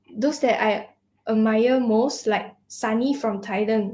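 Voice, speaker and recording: Somewhat breathy and at a very slow pace, a woman with fairly high pitch speaks with fairly even intonation. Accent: Mandarin. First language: Mandarin. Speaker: student singer. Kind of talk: conversational interview. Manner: halting.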